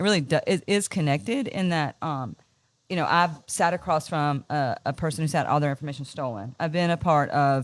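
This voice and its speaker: With a North Carolina accent, a woman speaks fairly quickly in a very deep, low voice with ordinary pitch variation, recorded very cleanly against a silent background. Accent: Southern US, North Carolina. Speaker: business owner. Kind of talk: casual interview. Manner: animated.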